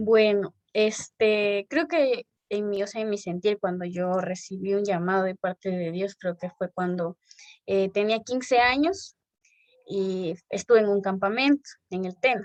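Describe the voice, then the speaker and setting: In a dry, close sound with no echo, a woman with an unremarkable speaking voice talks at a medium pitch with ordinary pitch variation. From Ecuador, El Chaco (Napo). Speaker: church member. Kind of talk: interview.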